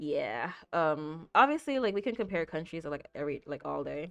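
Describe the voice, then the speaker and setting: A woman with an American accent, fairly low-pitched, at a fairly quick pace with lively intonation over a quiet background. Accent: sounds American to others. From Jamaica. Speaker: video game streamer. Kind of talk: casual chat. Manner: frequent filler words.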